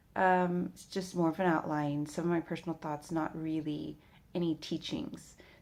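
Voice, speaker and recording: A woman's fairly low-pitched voice in a monotone, flat intonation. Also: very clean recording, silent background. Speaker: faith video blogger. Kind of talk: personal testimony. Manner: rambling, sleepy.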